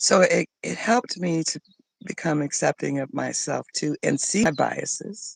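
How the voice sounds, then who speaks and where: The recording is dry and close, without any echo. A woman speaks at a moderate pace. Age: 60s. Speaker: life coach. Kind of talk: casual talk to camera. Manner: halting.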